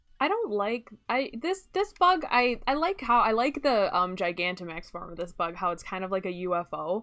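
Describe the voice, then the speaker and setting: Loud and bright with a sharp tone, a woman speaks at a fairly high pitch and moderate pace, with very wide pitch swings and hardly any pauses. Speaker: gaming streamer. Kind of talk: live stream chat. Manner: casual, many fillers.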